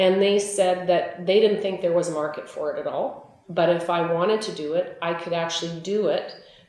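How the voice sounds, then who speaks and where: A woman with a Canadian Prairie accent speaks at a moderate pace and medium pitch, with fairly even intonation and hardly any pauses, amid audible room echo and noticeable background noise. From Manitoba, Canada. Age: 60s. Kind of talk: interview testimony. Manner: conversational, with frequent fillers.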